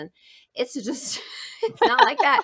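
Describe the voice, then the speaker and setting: A woman is speaking. Her pace is fairly quick. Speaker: podcast host, instructional specialist. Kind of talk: podcast interview. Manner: fast.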